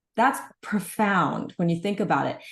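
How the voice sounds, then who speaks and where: This woman sounds animated and somewhat breathy, at a medium pitch. The background is quiet. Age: 60s. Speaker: health supplement practitioner liaison. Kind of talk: interview.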